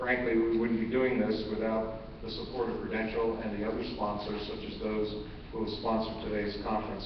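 A man at a fairly quick pace with monotone, flat intonation, amid noticeable background noise and audible room echo. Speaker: conference host. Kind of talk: closing remarks speech. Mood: warm, grateful, light humor. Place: hall. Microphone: podium.

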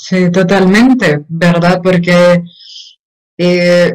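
A woman's fairly low-pitched, monotone voice with flat intonation against a quiet background. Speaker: host, consultant; host interviewer. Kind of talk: interviewer talk. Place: home room. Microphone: video call.

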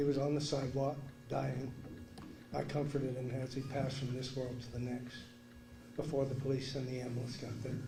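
A fairly high-pitched man speaks in a monotone, flat intonation. Music plays in the background, and the room echo is audible. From Vermont. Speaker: resident speaking at council meeting. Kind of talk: public comment.

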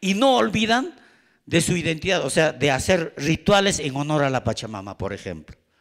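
Against a quiet background, a man speaks at a fairly slow pace with vocal fry and very wide pitch swings. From Peru. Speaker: speaker. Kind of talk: panel talk. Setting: forum with audience. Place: hall. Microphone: handheld.

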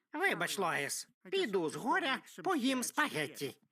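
A put-on character voice, fairly high in pitch with very wide pitch swings, delivered at a fairly slow pace. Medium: fan dub. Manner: blunt, goofy.

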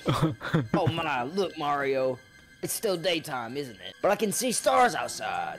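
Over faint music in the background, a raspy, put-on character voice at a middle pitch speaks at a fairly slow pace.

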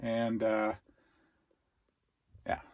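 A man's fairly low voice, slightly mellow in tone, with monotone, flat intonation and a very slow pace.

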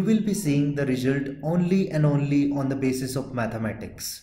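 A man with a fairly high pitch and a dark, mellow, somewhat breathy tone. He talks at a moderate pace with ordinary pitch variation. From India. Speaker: software trainer. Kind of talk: tutorial. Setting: outdoors at a stadium.

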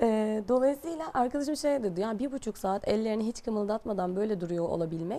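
Her tone dark and mellow, a woman speaks at a moderate pace with a fairly high pitch and lively intonation. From Bergama, western Turkey; western Turkey. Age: 30s. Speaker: personal development coach; guest. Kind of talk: interview. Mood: calm, earnest. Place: studio. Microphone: lapel.

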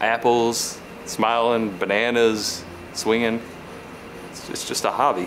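A man is speaking. Music plays in the background. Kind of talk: comedic interview answer. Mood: amused, suppressing laughter.

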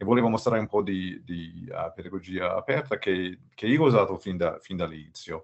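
With an English accent, a man speaks fairly quickly with hardly any pauses, his fairly low pitch showing ordinary pitch variation against a quiet background. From United States. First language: English (speaking Italian). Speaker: open education expert, former math professor; webinar presenter. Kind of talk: webinar presentation. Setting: video call webinar. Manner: halting, many fillers and repetitions. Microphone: video call.

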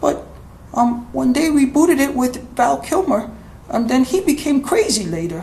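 A man's cartoonish character voice, extremely high in pitch, at a moderate pace with clear background noise. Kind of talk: comedic puppet interview. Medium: puppet.

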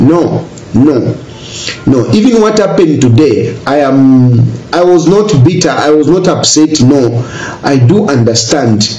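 A man talks fairly slowly. The room echo around him is audible. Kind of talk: personal video statement. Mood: earnest, grateful. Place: home room.

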